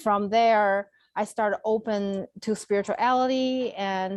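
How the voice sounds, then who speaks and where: Speaking with a Chinese accent, a woman uses a fairly high pitch and fairly even intonation. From China. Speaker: Reiki healer and former accountant. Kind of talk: conversational interview. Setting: video call.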